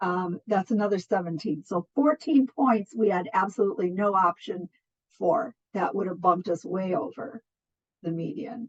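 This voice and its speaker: A woman's somewhat breathy voice with lively intonation at a moderate pace, the sound dry and close with no echo. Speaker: nonprofit program coordinator. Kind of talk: online funding presentation.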